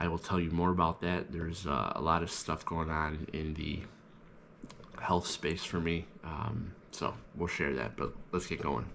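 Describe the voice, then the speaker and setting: A man with vocal fry and a very deep, low pitch speaks at a fairly slow pace with fairly even intonation. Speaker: real estate agent vlogger. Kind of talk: casual vlog narration. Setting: in a car.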